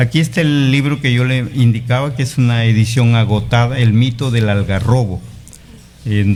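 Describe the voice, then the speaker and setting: A man's fairly slow speech at medium pitch with fairly even intonation, over noticeable background noise. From Peru, Piura (Bajo Piura). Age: 60s. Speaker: teacher and writer. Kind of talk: interview.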